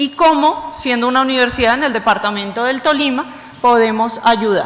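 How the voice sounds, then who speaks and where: Over noticeable background noise and audible room echo, a woman speaks fairly quickly in a high pitch. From Bogotá, Colombia. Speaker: university vice-rector, lecturer. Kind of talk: lecture.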